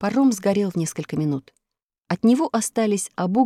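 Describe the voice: Against a quiet background, the speaker reads plainly aloud with lively intonation.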